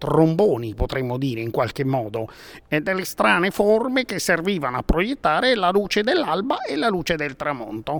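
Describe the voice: A man talks at a fairly slow pace with a fairly high pitch, big pitch swings, a fairly bright tone and vocal fry.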